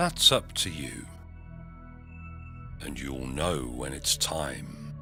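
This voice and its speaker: A man with an English accent in a calm, soothing tone, very slow and monotone, flat in intonation, with music in the background. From England. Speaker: hypnotherapist. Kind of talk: guided hypnosis. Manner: slow, calm, soothing.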